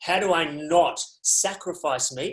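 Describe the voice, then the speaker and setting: A man with an Australian accent is speaking. His voice sits high in pitch. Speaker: resilience speaker. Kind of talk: webinar talk. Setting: video call.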